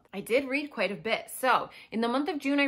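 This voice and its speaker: Against quiet surroundings, a woman is talking. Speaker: book vlogger. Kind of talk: casual vlog chat. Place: home room.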